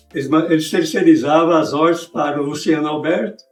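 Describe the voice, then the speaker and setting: At a moderate pace, a man speaks with music in the background. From Minas Gerais, Brazil. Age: 80s+. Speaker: orthotist and prosthetist. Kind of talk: interview.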